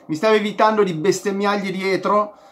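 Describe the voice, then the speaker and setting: A man's high, raised and projected voice at a moderate pace. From Italy. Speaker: football vlogger, Inter fan. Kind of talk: angry rant, heated match review with sarcastic insults at a player. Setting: home video recording, direct address to viewers. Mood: frustrated, critical. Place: home room. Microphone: phone near.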